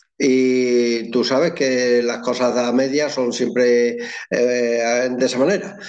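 Speech comes at a very slow pace with very even loudness and ordinary pitch variation. Room echo is audible. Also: man, medium pitch for a man. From Extremadura, Spain (Llerena, Badajoz). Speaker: photographer. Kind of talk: interview.

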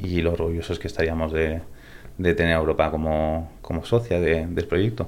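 A man speaks in a very deep, low pitch. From Spain (born in California, raised in Spain from age 8). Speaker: tech startup co-founder. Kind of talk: interview. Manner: repeats words, hesitant.

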